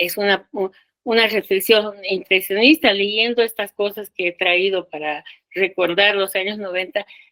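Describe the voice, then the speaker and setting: A bright, sharp tone with a dry, close sound and no echo. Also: woman, medium pitch for a woman, ordinary pitch variation, fairly slow pace. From Bolivia. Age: 70s. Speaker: sociologist and feminist activist. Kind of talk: panel talk.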